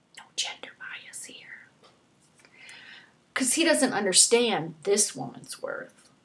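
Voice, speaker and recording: The pace is fairly slow. It is a woman speaking. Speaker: spoken word poet, poetry event host. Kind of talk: spoken word poetry performance. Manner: playful, goofy.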